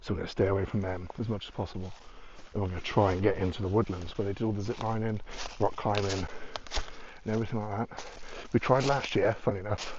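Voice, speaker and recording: Talking at a very fast pace yet with long, frequent pauses, a man uses a fairly low pitch and a British accent. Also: fairly even intonation. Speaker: urban explorer vlogger. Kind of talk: casual vlog commentary. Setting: outdoors. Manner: whispering.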